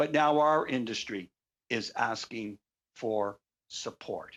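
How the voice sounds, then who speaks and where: A plain, everyday voice, a man at medium pitch with a Canadian accent and ordinary pitch variation, on a very clean recording with a silent background. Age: 60s. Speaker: bus company owner. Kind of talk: committee testimony. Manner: formal.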